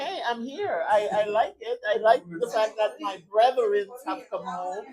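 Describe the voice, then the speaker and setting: Noticeable background noise sits behind a woman's fairly high voice. She speaks at a fairly slow pace. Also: lively intonation. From Sandy Bay, St Vincent (Caribbean). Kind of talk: interview.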